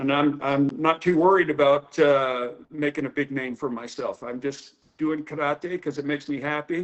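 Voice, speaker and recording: A man with an American accent and an unremarkable speaking voice, fairly high in pitch, fairly slow, with fairly even intonation. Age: 60s. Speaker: karate teacher. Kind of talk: interview.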